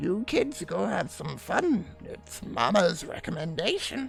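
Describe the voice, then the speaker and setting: A man does a raspy, put-on character voice with a high pitch while clear music plays in the background. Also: fairly slow pace. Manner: warm, knowing.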